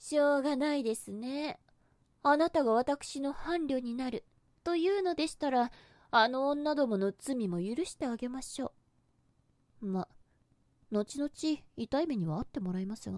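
Against a quiet background with a dry sound and no echo, a woman at a high pitch talks at a fairly slow pace with lively intonation and long, frequent pauses. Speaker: ASMR voice actress. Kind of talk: yandere goddess roleplay monologue, scripted ASMR situation voice. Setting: binaural headphone ASMR recording. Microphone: studio mic.

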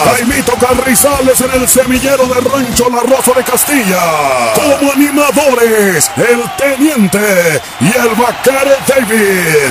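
The speech moves at a very slow pace. Loud music plays in the background. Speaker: rodeo announcer. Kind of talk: event promo read. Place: stadium.

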